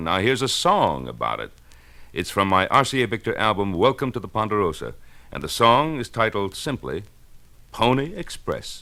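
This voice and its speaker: With lively intonation and vocal fry, a man speaks at a fairly quick pace. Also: very clean recording, silent background. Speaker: actor and singer. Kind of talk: radio promo spot.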